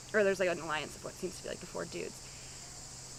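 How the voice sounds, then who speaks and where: This is a woman speaking. Her pitch is medium. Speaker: reality show contestant. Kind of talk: confessional interview. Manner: loud; hesitant, filler-heavy.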